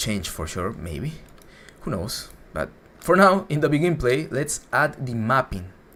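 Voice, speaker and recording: Vocal fry runs through a man's bright, sharp voice as he speaks at a fairly slow pace with very wide pitch swings. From Latin America. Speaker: game development instructor. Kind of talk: livestream tutorial. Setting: livestream. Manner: a little slower than usual.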